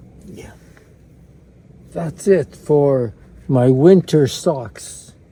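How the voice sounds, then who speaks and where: A man with a fairly high pitch talks at a very slow pace with ordinary pitch variation over noticeable background noise. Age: 80s+. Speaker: vlogger. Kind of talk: casual vlog.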